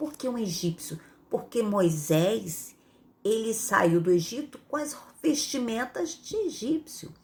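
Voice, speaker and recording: Her pitch swings very widely and her voice is somewhat breathy. The woman speaks at a fairly slow pace. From Rio de Janeiro, Brazil. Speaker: Bible teacher. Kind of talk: Bible reading with commentary. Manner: conversational, frequent fillers.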